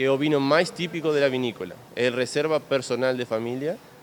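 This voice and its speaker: Using an unremarkable speaking voice at medium pitch, a man talks at a fairly quick pace with ordinary pitch variation. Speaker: winery representative. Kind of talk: interview.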